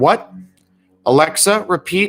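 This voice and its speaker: A man's put-on character voice, raspy and high-pitched, dry and close with no echo, with music in the background. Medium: read story.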